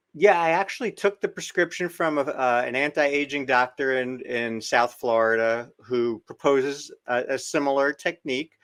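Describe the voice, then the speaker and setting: A man's unremarkable speaking voice, fairly high in pitch, with ordinary pitch variation, a moderate pace and hardly any pauses. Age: 60s. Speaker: doctor. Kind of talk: interview.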